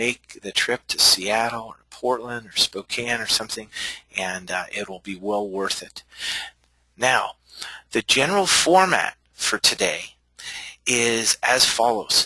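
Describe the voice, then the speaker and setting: Recorded dry and close with no echo, a man with an unremarkable speaking voice and medium pitch speaks at a fairly slow pace, with ordinary pitch variation and big swings in loudness. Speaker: chiropractor and billing consultant. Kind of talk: webinar presentation.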